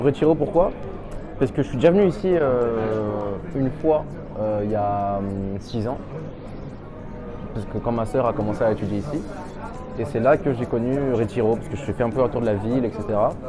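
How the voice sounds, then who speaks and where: Music plays behind a man speaking at a medium pitch and a moderate pace, with ordinary pitch variation. The room echo is audible, and he pauses long and often. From France, Lyon area. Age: 20s. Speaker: pharmacy student. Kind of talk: testimony interview. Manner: casual, hesitant with fillers.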